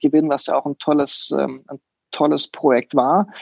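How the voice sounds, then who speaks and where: A man is heard in a dry, close sound with no echo. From France and Leonberg near Stuttgart. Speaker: design studio founder and CEO. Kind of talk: interview. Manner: hesitant, many fillers.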